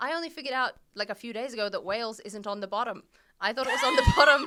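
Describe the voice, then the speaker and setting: In a very clean recording with a silent background, a woman speaks very fast with an Australian accent. Her high voice has a bright, sharp tone and ordinary pitch variation. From Australia, Brisbane. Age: 30s. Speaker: comedian. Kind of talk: casual chat.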